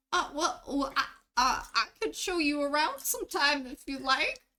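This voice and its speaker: A put-on character voice is pitched high. It moves at a moderate pace. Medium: actual play. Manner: stammering, hesitant.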